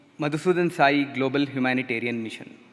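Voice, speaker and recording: A man's moderately paced speech with ordinary pitch variation, over noticeable background noise. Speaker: doctor, public health professor. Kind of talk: formal presentation. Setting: stage with live audience.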